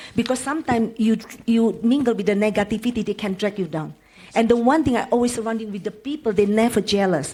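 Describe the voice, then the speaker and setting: A woman in an Indonesian accent, fairly high in pitch, very fast, with ordinary pitch variation. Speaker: panelist. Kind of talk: panel discussion.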